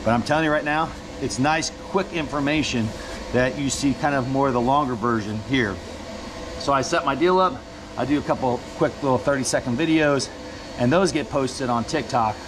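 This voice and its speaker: A man's fairly quick delivery, with ordinary pitch variation, comes through noticeable background noise. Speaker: fishing guide. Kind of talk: casual vlog chat. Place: boat. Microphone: phone near.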